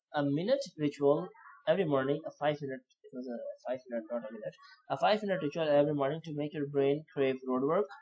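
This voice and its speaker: Very fast speech in a non-native accent. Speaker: copywriting learner sharing lessons. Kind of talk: tutorial. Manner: halting, many fillers and restarts.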